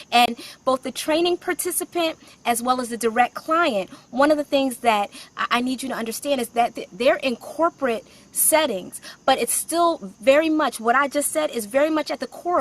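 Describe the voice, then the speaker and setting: With a high pitch and ordinary pitch variation, a woman's voice comes through dry and close with no echo. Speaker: career coach and author. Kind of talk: live stream talk. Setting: outdoors. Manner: fast.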